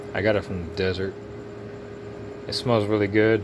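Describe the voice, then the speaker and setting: A man's fairly low voice at a moderate pace, with fairly even intonation and noticeable background noise. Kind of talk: casual talk to camera. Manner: casual, rambling, with filler words.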